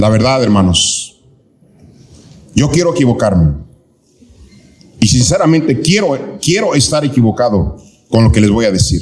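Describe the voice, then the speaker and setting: A man with a medium-pitched voice speaks fairly slowly, with very wide pitch swings, very even loudness and long, frequent pauses. Room echo is audible. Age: 60s. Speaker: pastor. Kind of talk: sermon. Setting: church, live. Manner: animated.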